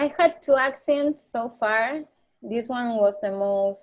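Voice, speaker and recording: Talking very slowly with a Spanish accent, a woman uses a fairly high pitch and ordinary pitch variation. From Argentina, Buenos Aires. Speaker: motorcycle traveler. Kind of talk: interview. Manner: halting.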